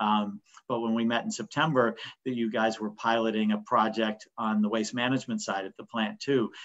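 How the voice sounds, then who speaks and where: Speaking fairly quickly with an American accent, a man keeps a medium pitch and a monotone, flat intonation. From Pittsburgh, US. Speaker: business owner. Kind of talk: webinar panel discussion. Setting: video call.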